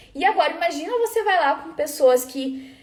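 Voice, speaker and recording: Noticeable background noise sits under a woman whose pitch swings very widely. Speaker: food quality trainer. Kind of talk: live webinar talk. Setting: live stream.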